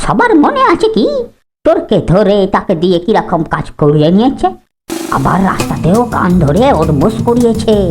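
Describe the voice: Over music in the background, a cartoonish character voice that sounds female speaks at a moderate pace and a medium pitch for a woman.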